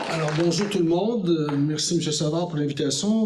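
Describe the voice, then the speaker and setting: Amid noticeable background noise and audible room echo, a man with a fairly high pitch speaks at a moderate pace with ordinary pitch variation. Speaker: former politician. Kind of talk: lecture. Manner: hesitant, with fillers.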